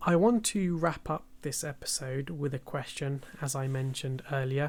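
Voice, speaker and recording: With a British accent, a man speaks at a fairly high pitch and ordinary pitch variation. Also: very clean recording, silent background. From United Kingdom. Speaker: podcast host. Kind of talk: casual podcast talk.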